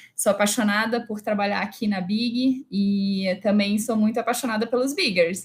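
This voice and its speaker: A woman speaks at a moderate pace in a fairly high pitch. Her voice is somewhat breathy. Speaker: HR director and speaker. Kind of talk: live online talk. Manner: animated.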